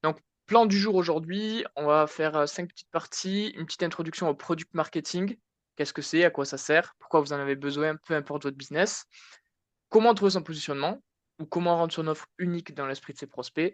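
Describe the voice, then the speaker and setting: A fairly high-pitched man in a southwestern French accent, with big swings in loudness, a dry, close sound with no echo and a quiet background. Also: ordinary pitch variation. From southwest France, Tarn. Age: 20s. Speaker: marketing consultant, conference speaker. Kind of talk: conference talk. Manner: casual, hesitant with many fillers.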